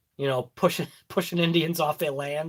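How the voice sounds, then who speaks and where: In a Boston accent, a man with a fairly high pitch talks at a moderate pace. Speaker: RC hobby YouTuber. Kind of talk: live stream chat. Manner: animated.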